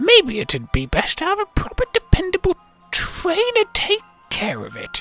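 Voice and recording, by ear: Over faint background music comes a put-on character voice at an extremely high pitch.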